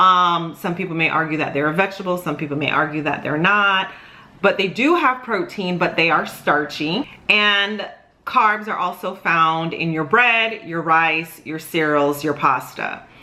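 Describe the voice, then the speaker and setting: Audible room echo around ordinary pitch variation. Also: woman, fairly low pitch for a woman. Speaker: dietitian. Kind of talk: educational talk to camera. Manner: fast.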